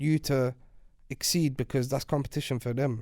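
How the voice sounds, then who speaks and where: A man talks with a London accent and a dark, mellow tone. His pace is moderate and his intonation fairly even. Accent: London Multicultural English. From Iraq (Baghdad), moved to UK at 8. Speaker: rapper. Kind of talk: podcast interview. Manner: casual, slangy.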